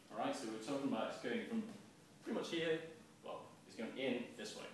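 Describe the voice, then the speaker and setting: A man races along at a very fast pace with very wide pitch swings, over light background noise and strong room echo. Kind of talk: lecture. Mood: light, jokey. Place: bar. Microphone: camera far.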